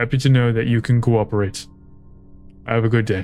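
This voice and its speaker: Using a put-on character voice, a man speaks at a fairly quick pace in a medium pitch, with monotone, flat intonation and very even loudness. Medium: game stream. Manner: curt, authoritative.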